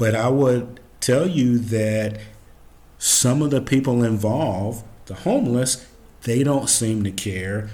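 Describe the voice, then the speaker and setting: Audible room echo surrounds a man of medium pitch. He talks at a very slow pace with ordinary pitch variation. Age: 60s. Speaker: commentary podcast host. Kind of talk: solo commentary monologue.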